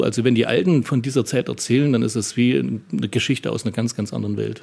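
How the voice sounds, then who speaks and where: Dark, mellow tone in a man's voice of medium pitch. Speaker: local chronicler and district head. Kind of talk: interview.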